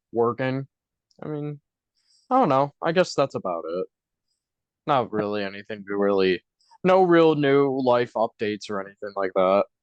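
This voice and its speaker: With a Buffalo accent, a man at a medium pitch talks at a moderate pace with lively intonation and long, frequent pauses, the sound dry and close with no echo. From US, Buffalo, New York. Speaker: podcast co-host and stage actor. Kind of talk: casual chat.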